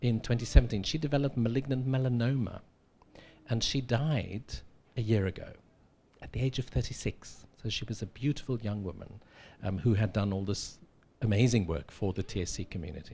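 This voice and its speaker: Speaking at a fairly quick pace with long, frequent pauses, a man with a South African accent has a somewhat breathy, dark, mellow tone, a medium pitch and ordinary pitch variation. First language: Afrikaans. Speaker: professor. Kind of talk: lecture.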